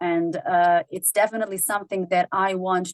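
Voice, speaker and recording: In a dry, close recording with no echo, a woman with a non-native accent speaks at a fairly low pitch in monotone, flat intonation. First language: not English. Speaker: singer-songwriter. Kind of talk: interview. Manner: halting.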